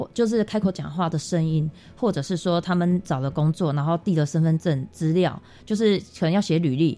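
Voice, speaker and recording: Her voice is dark and mellow, fairly low for a woman, with ordinary pitch variation and a fairly quick pace. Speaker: makeup artist and association founder. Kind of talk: radio interview.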